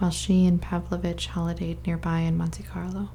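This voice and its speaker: A soft-spoken woman talks at a moderate pace. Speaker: ASMR creator reading a book aloud. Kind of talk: ASMR book reading.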